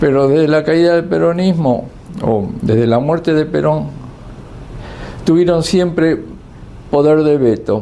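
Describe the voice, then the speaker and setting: A man speaks at a fairly slow pace in a fairly high voice with lively intonation. Noticeable background noise and audible room echo come through. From Argentina. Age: 70s. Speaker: political commentator. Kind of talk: monologue commentary. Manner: halting, many fillers and repetitions.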